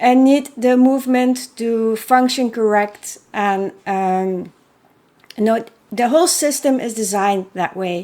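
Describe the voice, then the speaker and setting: A woman with a Belgian accent, fairly high pitch, ordinary pitch variation and a very slow pace. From Belgium. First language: not English. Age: 40s. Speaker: horse welfare advocate and author. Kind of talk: unscripted solo podcast monologue. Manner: hesitant, many fillers.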